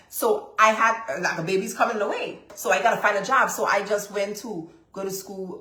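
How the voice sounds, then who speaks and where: A woman with an American accent speaks in an animated tone. Audible room echo surrounds her voice. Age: 30s. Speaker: business coach and lab owner. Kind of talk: live-stream coaching session.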